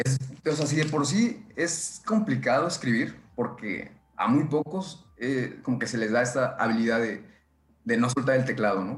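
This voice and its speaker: A plain, everyday voice from a man, medium in pitch, at a moderate pace with lively intonation. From central Mexico, State of Mexico. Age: 20s. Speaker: nanotechnology engineer and science blog editor. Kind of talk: casual chat.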